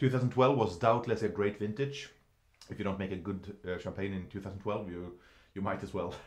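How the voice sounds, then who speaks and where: Fairly low-pitched male speech at a moderate pace, with ordinary pitch variation over a quiet background. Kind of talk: tasting commentary. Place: studio.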